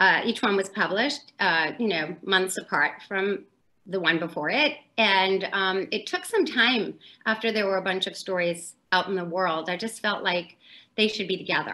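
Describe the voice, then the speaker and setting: With ordinary pitch variation and a moderate pace, this woman's voice sits at a medium pitch. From US South, New Orleans; Louisiana. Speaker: author; interviewee. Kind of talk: casual interview. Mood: warm, friendly. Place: home room. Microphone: video call.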